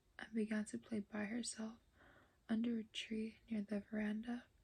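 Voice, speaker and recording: Soft-spoken and somewhat breathy, a woman talks at a moderate pace with a fairly high pitch, a dark, mellow tone and monotone, flat intonation. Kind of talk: ASMR audiobook reading.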